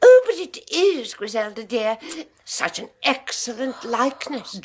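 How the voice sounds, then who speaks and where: A woman performs a put-on character voice with a high pitch. Her loudness swings widely. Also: fairly slow pace, lively intonation. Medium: old radio play. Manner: genteel, soft, gushing.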